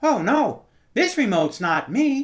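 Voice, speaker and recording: A female-sounding put-on character voice speaks at a fairly slow pace, high in pitch with very wide pitch swings. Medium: audio drama.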